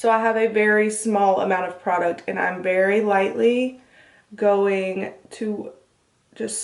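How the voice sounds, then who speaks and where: A woman talks at a fairly slow pace with a fairly high pitch and fairly even intonation. Audible room echo hangs on her words. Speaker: beauty vlogger, makeup artist. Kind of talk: tutorial. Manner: casual, chatty.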